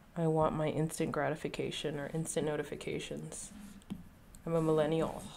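In an American accent, a woman speaks with a very deep, low pitch and monotone, flat intonation, with audible room echo around her. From Texas. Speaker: art streamer and art teacher. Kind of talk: casual livestream chat while drawing. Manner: rambling, laughs often. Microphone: quiet, varying distance to mic.

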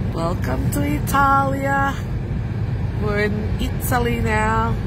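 A very slow pace over loud background noise, with a dry sound and no echo. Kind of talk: casual travel commentary. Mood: delighted, admiring. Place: car.

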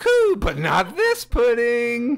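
A man speaks at a very slow pace. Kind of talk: comic overacting. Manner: melodramatic, grandiose, cooing.

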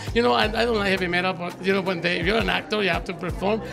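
Clear music plays in the background as a man with a high pitch speaks with ordinary pitch variation. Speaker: actor, guest. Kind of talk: interview answer. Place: hall. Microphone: handheld.

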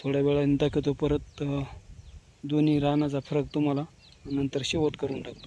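At a moderate pace, a man speaks with a fairly high pitch and a dark, mellow tone.

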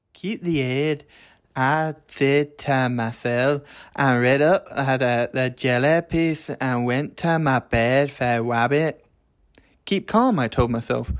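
The speaker talks at a very slow pace with a Scottish accent and ordinary pitch variation. The recording is very clean, with a silent background. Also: man, fairly high pitch for a man. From Scotland. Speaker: English teacher. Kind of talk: storybook reading.

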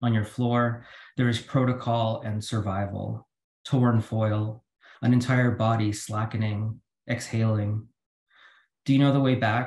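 Amid audible room echo, a man speaks in a somewhat breathy, monotone voice with flat intonation, at a fairly slow pace broken by long, frequent pauses. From Philippines. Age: 40s. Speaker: poet. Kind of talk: poetry reading. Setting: video call. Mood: calm, measured. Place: home room. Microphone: video call.

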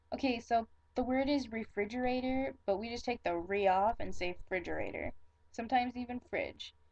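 Fairly quick speech from a woman with a Michigan accent, ordinary pitch variation throughout. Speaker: vlogger. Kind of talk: casual talk to camera. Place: home room. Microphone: webcam.

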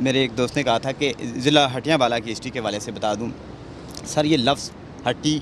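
A plain, everyday voice with fairly even intonation, dry sound with no echo and light background noise. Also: man, medium pitch for a man. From Jhelum Valley, Azad Kashmir; Azad Kashmir. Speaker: social activist; talk show guest or host. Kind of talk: panel discussion. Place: open country. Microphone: handheld.

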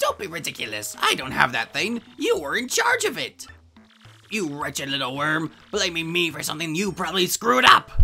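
A put-on character voice at a middle pitch speaks at a moderate pace, with faint music in the background. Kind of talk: comic villain overacting. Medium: fan dub. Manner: haughty, scornful, shrill bursts of cackling.

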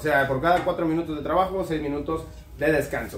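Speaking at a fairly quick pace over faint background noise, a man uses a fairly high pitch with ordinary variation.

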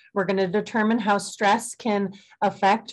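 A woman speaking at a fairly slow pace against a quiet background. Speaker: presenter. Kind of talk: webinar presentation. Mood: calm, friendly. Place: home room. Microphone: webcam.

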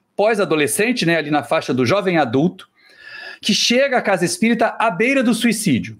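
A man talks at a fairly quick pace, high in pitch with lively intonation. The background is quiet. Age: 50s. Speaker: spiritist lecturer and university professor; spiritist lecturer, university professor. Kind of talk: talk show lecture. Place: home room.

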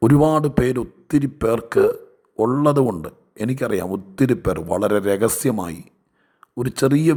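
A man with a normal speaking voice talks with lively intonation. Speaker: pastor. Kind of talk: sermon.

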